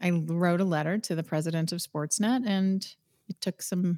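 A woman with a Canadian accent speaks in an unremarkable speaking voice at a medium pitch and moderate pace, with ordinary pitch variation. The recording is very clean, with a silent background and a dry, close sound with no echo. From Eastern Canada. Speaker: sports broadcaster and former rock singer. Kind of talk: casual interview.

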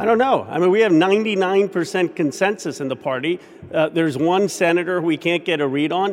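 An American-accented man speaks at a fairly quick pace in a high voice, his pitch varying an ordinary amount. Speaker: congressman. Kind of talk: news interview.

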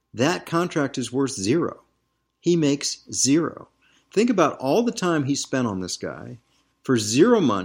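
A man speaks in a medium pitch with an American accent. The recording is very clean with a silent background. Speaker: sports business podcast host. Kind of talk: angry rant. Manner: impassioned, emphatic.

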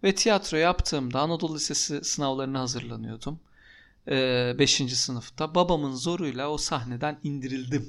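The recording is very clean with a silent background. A man with a normal speaking voice and fairly high pitch talks at a moderate pace with ordinary pitch variation. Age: 30s. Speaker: podcast co-host. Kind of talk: casual chat.

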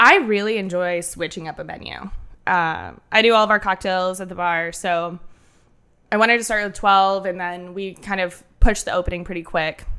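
A woman's fairly low, nasal voice at a moderate pace, with fairly even intonation and a tone both bright and sharp, clear and smooth.

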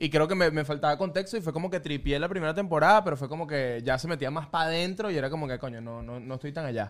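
Speaking very fast with hardly any pauses, a man with a Venezuelan accent uses a fairly high pitch and ordinary pitch variation. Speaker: film and pop culture podcast host. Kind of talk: casual chat.

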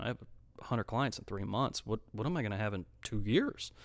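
On a very clean recording with a silent background, a man with an ordinary speaking voice talks at a fairly low pitch and with fairly even intonation. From Florida, Volusia County (moved from Detroit area at 13). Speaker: small business owner. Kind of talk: casual chat.

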